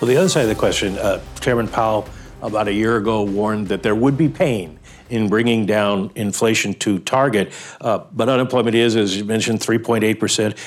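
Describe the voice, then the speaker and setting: In an ordinary speaking voice, a man talks at a medium pitch and a fairly quick pace. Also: ordinary pitch variation. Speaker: economics editor. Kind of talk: interview.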